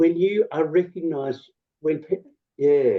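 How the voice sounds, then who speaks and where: Speaking at a moderate pace, a man with an Australian accent has a fairly high pitch and ordinary pitch variation. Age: 60s. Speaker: health consumer advocate. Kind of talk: seminar Q&A answers. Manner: halting.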